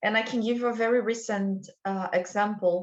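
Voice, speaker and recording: A woman speaks with a Brazilian accent. Her pitch is medium and her intonation fairly even. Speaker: culture and wellbeing consultant. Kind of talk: interview podcast.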